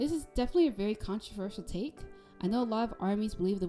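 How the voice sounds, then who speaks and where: Over music in the background, a soft-spoken woman talks very fast with lively intonation. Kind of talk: video essay narration.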